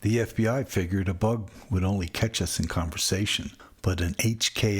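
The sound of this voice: Unforced voice for reading aloud.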